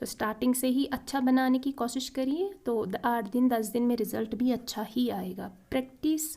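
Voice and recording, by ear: A woman with a fairly high pitch and a dark, mellow tone speaks at a moderate pace with vocal fry, fairly even intonation and few pauses.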